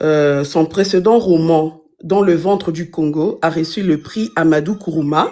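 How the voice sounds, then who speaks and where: Speaking at a very slow pace with a non-native accent, a woman has a fairly low pitch, ordinary pitch variation, and a dark, mellow tone. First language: not French (multilingual, intermittent francophone) (speaking French). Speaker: book reviewer. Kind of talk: book review in a live stream. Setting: live stream. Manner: halting, many fillers.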